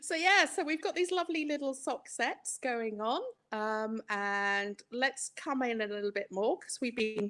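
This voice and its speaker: Here a woman talks with an English accent at a fairly high pitch, her pitch swinging very widely. The recording is very clean, with a silent background. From England. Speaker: yarn dyer and market stallholder. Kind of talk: casual chat showing products on a live stream.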